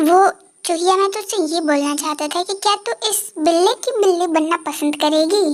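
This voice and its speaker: Using a put-on character voice, a woman speaks at an extremely high pitch with ordinary pitch variation and a moderate pace. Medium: fan dub.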